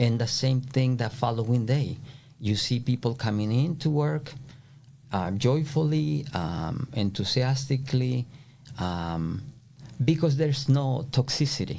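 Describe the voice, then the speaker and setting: A man with a Spanish accent speaks at a fairly slow pace in a dark, mellow, somewhat breathy voice at a medium pitch. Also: lively intonation. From El Salvador. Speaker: flooring contractor. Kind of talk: podcast interview answer.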